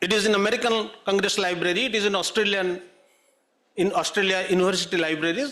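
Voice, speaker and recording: A man with an Odisha accent speaks at a moderate pace in a raised, projected voice. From Odisha, India. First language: Odia. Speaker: writer. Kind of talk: panel talk.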